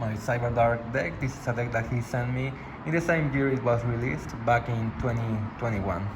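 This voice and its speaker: A man with a non-native accent at a medium pitch and a fairly quick pace, ordinary pitch variation, audible room echo and noticeable background noise. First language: not English. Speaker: gaming YouTuber. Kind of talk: unboxing video.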